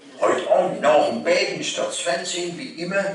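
Room echo is audible and light background noise sits behind a man as he talks. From Lower Franconia. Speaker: cabaret performer. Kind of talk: dialect cabaret performance. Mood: jovial, comic. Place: hall. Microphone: camera far.

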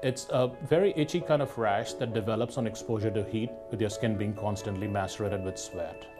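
Clear music plays in the background as a man talks at a fairly quick pace with ordinary pitch variation. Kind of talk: health information report. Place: office. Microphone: lapel.

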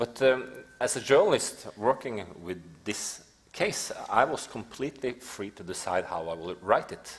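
In a Norwegian accent, a man speaks slowly at a medium pitch. His intonation is lively, with big swings in loudness. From Norway. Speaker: investigative journalist. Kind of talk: panel discussion. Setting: stage with audience. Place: stage.

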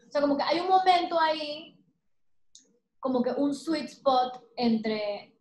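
At a very slow pace, a high-pitched woman talks with long, frequent pauses amid audible room echo. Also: ordinary pitch variation, quiet background. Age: 30s. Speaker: painter; interviewee. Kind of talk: interview conversation. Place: home room. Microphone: webcam.

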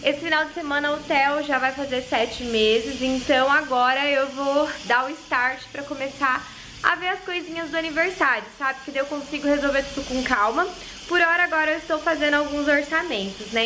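Over noticeable background noise, a woman uses a raised, projected voice with ordinary pitch variation. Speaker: vlogger mother. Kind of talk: casual vlog chat. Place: kitchen. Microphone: phone near.

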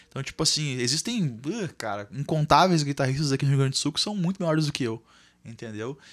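A man talks very fast in a fairly high voice. The background is quiet. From Brazil. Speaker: guitarist and music teacher; music teacher. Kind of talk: casual chat. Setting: studio. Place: studio. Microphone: studio mic.

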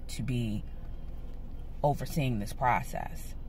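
Over light background noise, a woman speaks with vocal fry and very wide pitch swings in a dry sound with no echo. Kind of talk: casual vlog chat. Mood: frustrated, earnest. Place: car. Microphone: phone near.

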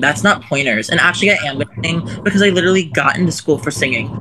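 Someone with an American accent speaks at a very fast pace. Noticeable background noise runs underneath. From Maryland. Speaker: livestream caller; caller. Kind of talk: heated debate. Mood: defensive, upset. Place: home room. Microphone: phone near.

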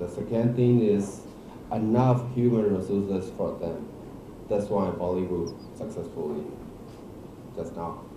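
A man with a Burmese accent and a fairly low pitch, speaking at a fairly slow pace with long, frequent pauses, amid audible room echo and noticeable background noise. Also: ordinary pitch variation. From Myanmar. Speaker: actor and film director. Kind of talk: press conference; press conference answer. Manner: halting. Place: hall.

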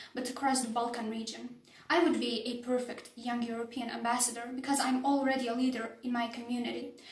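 A woman's monotone, flat intonation amid audible room echo. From Bosnia and Herzegovina. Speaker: political science student. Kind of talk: application video talk to camera. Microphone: phone near.

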